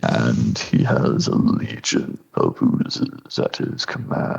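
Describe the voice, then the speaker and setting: This man uses a put-on character voice. He talks at a very slow pace. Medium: actual play. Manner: formal, measured.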